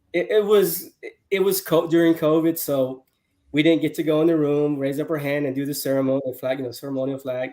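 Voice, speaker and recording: A man talks at a fairly quick pace with an American accent. His tone is dark and mellow, his intonation fairly even. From Houston, Texas. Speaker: sales executive. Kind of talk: casual interview chat. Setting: livestream.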